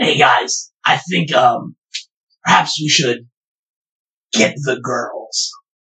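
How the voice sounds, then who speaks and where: Very slow and raspy, this put-on character voice sits at a low-to-middle pitch and leaves long, frequent pauses. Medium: actual play.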